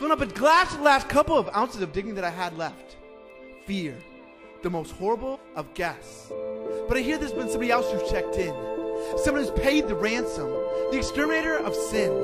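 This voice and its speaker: The talking goes along fairly quickly. Behind it, music can be heard. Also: man. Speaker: spoken word poet. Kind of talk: spoken word poetry performance.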